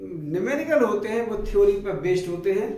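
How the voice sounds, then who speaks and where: A man with a Bundelkhand accent speaks at a high pitch. Audible echo fills the room. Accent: Bundelkhandi Hindi. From Bundelkhand, central India. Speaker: maths teacher, engineer. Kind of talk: motivational talk to camera.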